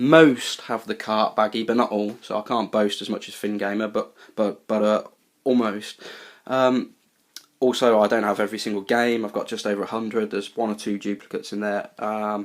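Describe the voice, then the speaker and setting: A man with a British accent, fairly low in pitch, monotone and flat in intonation, at a moderate pace. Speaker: retro game collector YouTuber. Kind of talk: casual video tour. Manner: hesitant, many fillers.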